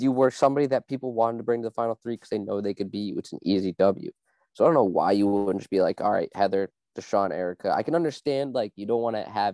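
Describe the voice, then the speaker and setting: Over a quiet background, a man with a dark, mellow tone speaks at a very fast pace with ordinary pitch variation, the sound dry and close with no echo. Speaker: podcast co-host. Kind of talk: casual chat.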